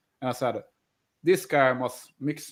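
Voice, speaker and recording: A man's voice is heard with a fairly high pitch. He talks at a moderate speed. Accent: Swedish. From Sweden, Falun. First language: Swedish. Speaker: band bassist. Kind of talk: casual chat. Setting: live stream video call.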